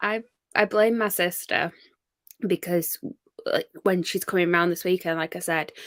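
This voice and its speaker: A woman speaks at a moderate pace in a fairly low pitch with fairly even intonation. The recording is very clean with a silent background, and the sound is dry and close with no echo. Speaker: book blogger co-streamer. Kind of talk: casual livestream chat. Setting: livestream.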